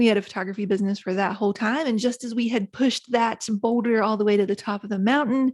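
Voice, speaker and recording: Someone with an Appalachian accent talks very fast with fairly even intonation. The recording is dry and close, with no echo. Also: woman, fairly high pitch for a woman, hardly any pauses. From West Virginia, Appalachia. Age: 40s. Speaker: author and podcast host. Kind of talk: interview conversation.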